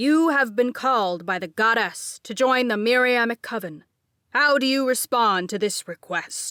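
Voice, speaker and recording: The speaker uses a put-on character voice. The recording is very clean, with a silent background. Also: woman, high pitch for a woman, moderate pace. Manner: solemn, ritual-like.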